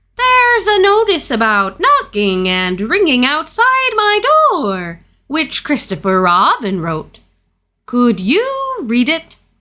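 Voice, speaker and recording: At a fairly slow pace, a woman performs a put-on character voice pitched high. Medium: read story. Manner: pompous, bluffing.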